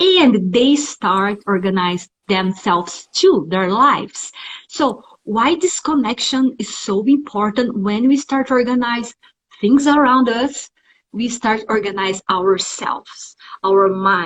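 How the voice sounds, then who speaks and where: Speaking at a very slow pace, a woman with a fairly high pitch sounds somewhat breathy and uses lively intonation. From Brazil, São Paulo. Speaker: live stream host, home organizer. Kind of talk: live interview.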